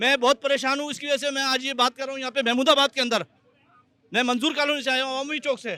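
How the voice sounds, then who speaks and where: In a raised, projected voice, a man talks at an extremely high pitch with fairly even intonation, the sound dry and close with no echo. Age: 60s. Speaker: resident. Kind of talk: public complaint.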